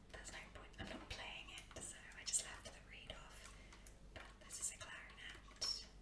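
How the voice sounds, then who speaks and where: A woman is whispering at a moderate pace, with noticeable background noise. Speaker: ASMR creator and musician (bassoonist). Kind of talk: whispered ASMR tour of musical instruments. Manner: whispered, soft-spoken.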